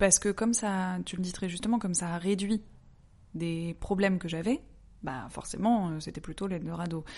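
This woman's voice is somewhat breathy, with a dark, mellow tone and ordinary pitch variation. She leaves long, frequent pauses. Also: medium pitch for a woman, moderate pace. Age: 30s. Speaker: interviewee sharing personal experience. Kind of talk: personal testimony in interview.

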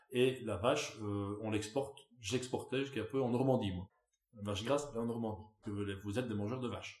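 With long, frequent pauses, a man talks at a fairly quick pace and a medium pitch. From Belgium, Wallonia. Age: 30s. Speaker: farmer. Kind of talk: interview. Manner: animated.

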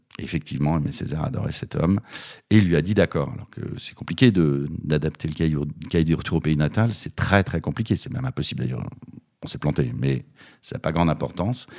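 Lively in intonation, a man with a very deep, low pitch and vocal fry talks at a fairly quick pace. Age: 50s. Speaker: theatre director. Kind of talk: casual interview.

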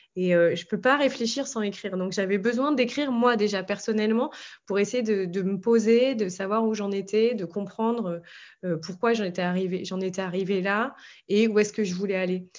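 Ordinary pitch variation and a moderate pace in an ordinary speaking voice. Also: woman, medium pitch for a woman. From French Alps, later Belgium. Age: 30s. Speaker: author and former journalist. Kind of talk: interview.

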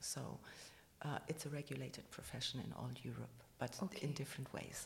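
A woman's very deep, low voice with vocal fry and a German accent, at a moderate pace with fairly even intonation. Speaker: architect, president of a professional body. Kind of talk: interview. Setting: office building.

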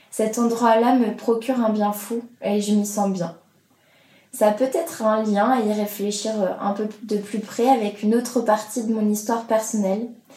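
A woman's fairly high, monotone voice with flat intonation, at a fairly slow pace, over noticeable background noise. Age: 20s. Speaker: podcast host. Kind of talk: personal testimony.

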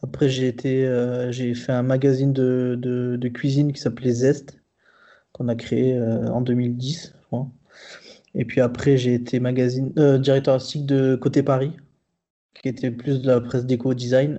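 Medium in pitch, a man's voice stays monotone, with flat intonation. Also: fairly slow pace. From southern France. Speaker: graphic designer. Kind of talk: casual chat. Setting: remote recording. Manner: halting.

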